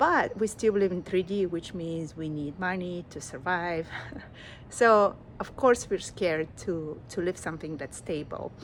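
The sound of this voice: A woman speaks at a fairly slow pace. Her pitch sits fairly low and varies in an ordinary way.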